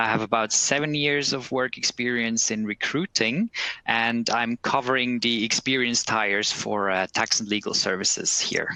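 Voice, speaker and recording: Despite noticeable background noise, the sound is dry and close with no echo as a man talks at a moderate pace with hardly any pauses, a medium pitch, and fairly even intonation. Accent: Swiss German. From German-speaking Switzerland, Bern. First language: Swiss German. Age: 30s. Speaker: recruiter. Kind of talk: webcast presentation. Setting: office.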